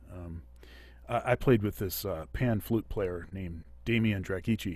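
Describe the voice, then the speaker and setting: This very clean recording has a silent background. A man speaks at a fairly low pitch with ordinary pitch variation. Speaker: saxophonist and music educator. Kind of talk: masterclass Q&A. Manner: halting with many fillers.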